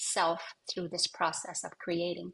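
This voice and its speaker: The woman speaks at a medium pitch. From Canadian Arctic, Inuk. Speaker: singer-songwriter. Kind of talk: interview answer. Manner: reflective, with hesitations.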